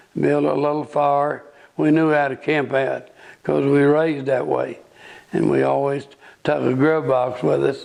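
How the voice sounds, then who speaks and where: A man talks at a fairly slow pace in an Ozark accent. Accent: rural Ozark Southern US. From US South, northwest Arkansas. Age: 80s+. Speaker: local elder sharing memories. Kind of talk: oral history interview.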